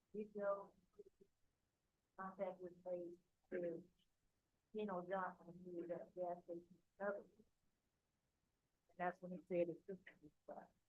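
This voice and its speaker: In an American accent, a woman talks at a moderate pace and medium pitch with monotone, flat intonation. Her loudness swings widely, and she leaves long, frequent pauses. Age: 50s. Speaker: judge. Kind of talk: court hearing. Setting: courtroom.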